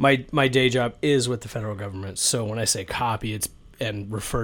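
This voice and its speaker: This man's intonation stays fairly even, his pitch sitting in the medium range. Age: 40s. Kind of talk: casual chat.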